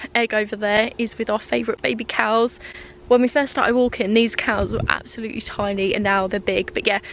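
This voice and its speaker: A woman with a southern English accent speaks in a fairly high pitch with fairly even intonation. Noticeable background noise runs behind her. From south-east England, East Sussex. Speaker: lifestyle vlogger. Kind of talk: casual vlog. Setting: outdoors. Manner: soft-spoken.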